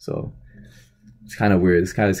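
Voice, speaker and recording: A dark, mellow tone with fairly even intonation comes through on a very clean recording with a silent background. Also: man. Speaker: boxing commentary vlogger. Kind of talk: casual vlog commentary. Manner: monotone; hesitant, many fillers.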